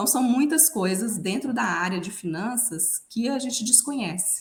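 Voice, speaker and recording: Speaking with a Minas Gerais accent, a woman uses lively intonation. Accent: mineiro. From Minas Gerais, Brazil. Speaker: financial consultant. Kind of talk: podcast interview.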